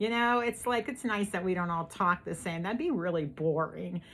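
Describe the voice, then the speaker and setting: A woman with a strong Pittsburgh accent talks at a moderate pace with lively intonation and a bright, sharp tone. The recording is very clean, with a silent background. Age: old. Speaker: YouTube host. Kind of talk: casual chat.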